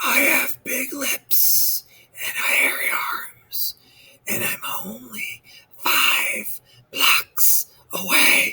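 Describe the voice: Whispering at a very slow pace, a man puts on a character voice.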